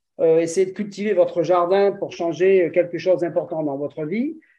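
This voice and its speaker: A man's voice is heard. It has a dark, mellow tone. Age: 60s. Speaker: business opportunity presenter. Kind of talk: sales pitch. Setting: video call. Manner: halting.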